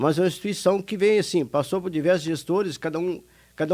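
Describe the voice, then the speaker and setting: Quick-paced and lively in intonation, a man speaks with a high pitch. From Brazil, Minas Gerais. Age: 60s. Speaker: retired industry administrator, charity director. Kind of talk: radio interview.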